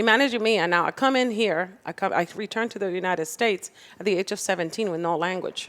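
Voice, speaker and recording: A woman with a Spanish accent talks at a very fast pace. Her pitch is medium, with ordinary variation. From Dominican Republic and Puerto Rico. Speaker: political candidate. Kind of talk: political interview. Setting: podcast studio with live audience.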